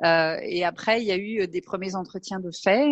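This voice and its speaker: A woman is speaking here. Her pitch sits in the medium range. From western France (Angers). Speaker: astronaut candidate. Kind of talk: interview. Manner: hesitant, many fillers.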